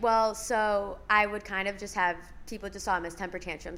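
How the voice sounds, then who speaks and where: Vocal fry marks this woman's voice. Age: 20s. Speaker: mental health speaker. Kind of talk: casual chat.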